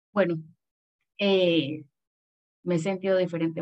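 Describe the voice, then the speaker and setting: A woman speaks in a monotone. Her pace is moderate. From Panama. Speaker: adoptee, adoption association member. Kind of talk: casual chat.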